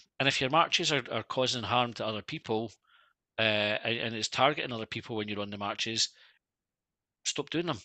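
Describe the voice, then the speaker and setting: A man with an Edinburgh accent, fairly quick in pace, with ordinary pitch variation and long, frequent pauses. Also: medium pitch for a man. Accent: Scottish (Edinburgh). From Scotland. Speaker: football fan podcaster. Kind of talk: casual interview chat. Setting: remote video call.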